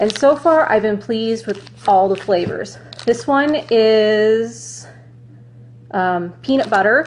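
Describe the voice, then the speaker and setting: A woman talks in an ordinary speaking voice. Her pitch sits fairly high. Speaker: runner reviewing gear. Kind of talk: product review vlog. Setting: Facebook Live video. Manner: casual, chatty.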